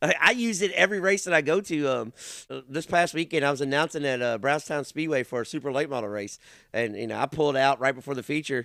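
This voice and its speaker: In a Kentucky accent, a man with a fairly high pitch talks in a bright, sharp tone with lively intonation, on a very clean recording with a silent background. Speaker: race announcer and podcast host. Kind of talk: casual chat. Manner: loud.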